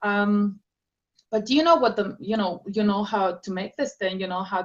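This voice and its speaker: With a Spanish accent, a woman talks at a moderate pace. Her medium pitch shows ordinary variation. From South America, Andes highlands. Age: young. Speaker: author and speaker. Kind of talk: interview. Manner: halting.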